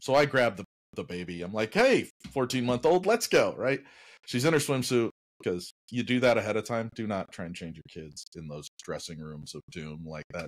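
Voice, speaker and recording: Very wide pitch swings and big swings in loudness mark this man's speech at a moderate pace. The background is quiet. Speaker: podcast co-host telling a story. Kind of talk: casual podcast storytelling. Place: home room.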